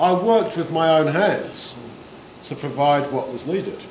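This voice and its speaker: Light background noise and audible room echo surround the recording. The speaker is a man. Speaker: bible teacher. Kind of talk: sermon. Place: hall.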